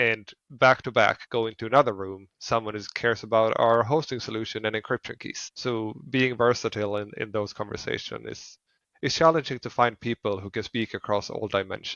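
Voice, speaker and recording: Here a man talks at a fairly quick pace. His intonation stays fairly even. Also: medium pitch for a man. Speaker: fintech founder. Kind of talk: podcast interview. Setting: remote call.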